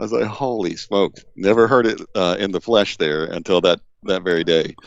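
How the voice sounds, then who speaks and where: With an American accent, a man speaks in a normal speaking voice at a fairly low pitch. He keeps a moderate pace and ordinary pitch variation. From US Deep South. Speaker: database expert. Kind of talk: casual chat. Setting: video call.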